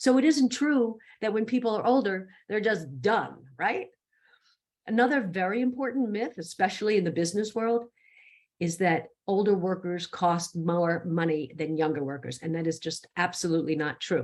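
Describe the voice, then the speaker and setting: With a plain, everyday voice, a woman speaks at medium pitch with lively intonation. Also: moderate pace. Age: 60s. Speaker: speaker on ageism. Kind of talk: presentation talk. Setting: virtual summit.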